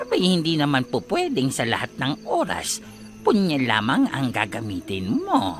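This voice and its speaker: Clear music plays in the background as a man uses a put-on character voice at a fairly slow pace. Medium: read story. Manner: brisk, lightly teasing.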